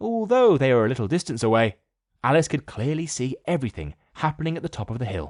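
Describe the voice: A quiet background behind plain reading aloud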